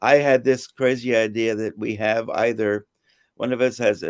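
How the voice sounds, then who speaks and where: A man speaks in a flat monotone at medium pitch. The recording is very clean, with a silent background and a dry, close sound without echo. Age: 70s. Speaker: volunteer. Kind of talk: interview.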